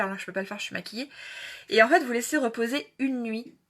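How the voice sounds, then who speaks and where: The woman's voice has a bright, sharp tone. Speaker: beauty livestreamer. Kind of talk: live tutorial. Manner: fast; hesitant with fillers.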